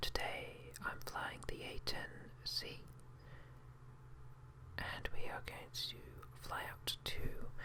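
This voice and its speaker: Someone whispers in a British accent over noticeable background noise. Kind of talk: ASMR whisper gameplay narration. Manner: whispered, quiet, relaxing.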